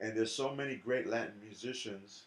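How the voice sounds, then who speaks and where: A man with a New York accent at a moderate pace. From New York City, South Bronx. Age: 60s. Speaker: jazz drummer and educator. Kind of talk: interview conversation. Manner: animated.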